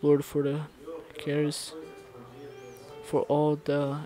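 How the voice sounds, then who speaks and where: The sound is dry, with no echo, as a man speaks. Music plays clearly in the background. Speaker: pastor. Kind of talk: prayer. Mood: solemn, reverent. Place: church. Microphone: lapel.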